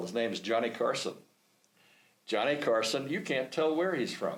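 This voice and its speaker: A man with an American accent talks with vocal fry. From New York. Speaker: retired naval aviator. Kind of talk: storytelling interview. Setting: podcast studio.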